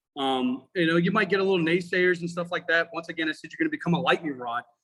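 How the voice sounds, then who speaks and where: A loud, high-pitched male voice. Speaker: firefighter and instructor. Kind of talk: casual chat. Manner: animated.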